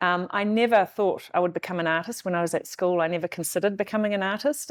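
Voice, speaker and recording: A woman speaks with a fairly low pitch and fairly even intonation. The recording is very clean, with a silent background. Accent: New Zealand. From New Zealand (arrived from the Netherlands aged five). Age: 50s. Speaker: artist. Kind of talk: interview.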